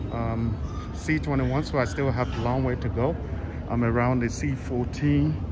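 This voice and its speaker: The pace is fairly slow. There is noticeable background noise. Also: man. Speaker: travel vlogger. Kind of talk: casual vlog chat. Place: station. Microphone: phone near.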